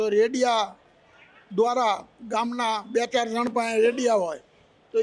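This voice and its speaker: Monotone and flat, a man speaks at an extremely high pitch. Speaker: elderly villager, war-era witness. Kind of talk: interview reminiscence.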